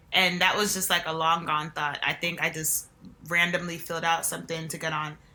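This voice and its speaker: In a New Jersey accent, a woman with a fairly low pitch speaks at a fairly quick pace in a monotone, flat intonation. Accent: New Jersey American. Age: 20s. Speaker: reality TV contestant. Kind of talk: interview. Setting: podcast.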